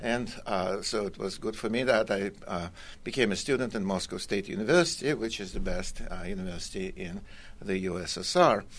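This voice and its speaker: A man talks at a moderate pace in a Russian accent. His pitch swings very widely. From Russia (Kazan, Tatarstan). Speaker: economics professor. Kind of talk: radio interview. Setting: radio studio.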